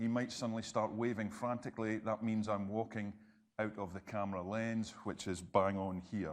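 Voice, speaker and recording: A man's fairly low voice with a Scottish accent, over a quiet background. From Scotland. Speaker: health and safety trainer. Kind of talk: interactive presentation. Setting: presentation room with audience. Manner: fast when excited.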